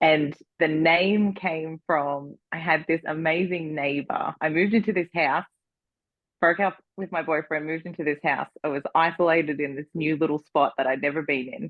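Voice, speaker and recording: Her voice sits very deep and low for a woman. The woman keeps a moderate pace and fairly even intonation. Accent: Australian. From Australia. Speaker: entrepreneur and designer. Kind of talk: interview conversation. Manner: rising question-like inflection.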